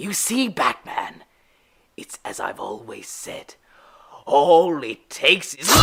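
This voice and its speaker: A raspy put-on character voice sits at a middle pitch. It moves at a fairly slow pace with long, frequent pauses. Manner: mocking, theatrical.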